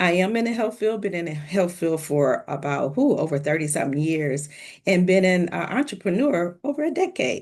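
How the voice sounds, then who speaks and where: A woman with an American accent, fairly low in pitch, with very wide pitch swings, a moderate pace and a quiet background. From US Midwest, Milwaukee, Wisconsin. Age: 60s. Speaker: entrepreneur, health worker. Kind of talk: interview.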